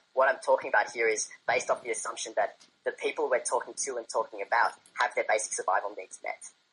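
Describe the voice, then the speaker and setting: A man talks at a very fast pace. He speaks with an Australian accent. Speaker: debate guest. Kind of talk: debate.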